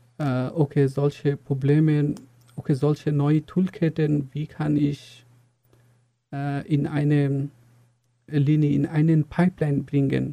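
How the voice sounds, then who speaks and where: A man in a Bengali accent at a very slow pace, with a dark, mellow tone, monotone, flat intonation, long, frequent pauses, and a dry, close sound with no echo. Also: fairly high pitch for a man. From Bangladesh. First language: Bengali (speaking German). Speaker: software engineer, university graduate. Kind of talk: interview. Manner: halting, many fillers.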